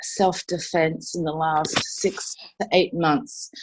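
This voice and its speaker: A woman with an Australian accent can be heard over a quiet background. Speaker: martial arts and self-defense instructor. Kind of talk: conversational presentation.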